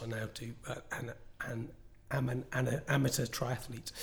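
The speech moves at a moderate pace with fairly even intonation. Noticeable background noise is present. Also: man. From northwest England. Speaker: entrepreneur and product designer. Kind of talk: interview.

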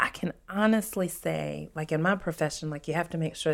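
A woman with a Southern US accent speaks at a moderate pace, her very deep, low pitch showing ordinary pitch variation. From US South, Louisiana (Lafayette area), moved to Tennessee at eight. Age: 40s. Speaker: podcast host, abuse survivor. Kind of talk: Q&A interview, personal testimony.

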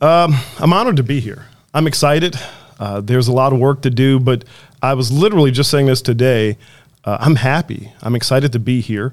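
An unremarkable speaking voice, a man's medium-pitched delivery moves at a fairly quick pace with ordinary pitch variation. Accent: American. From Chicago. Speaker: city manager. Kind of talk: interview.

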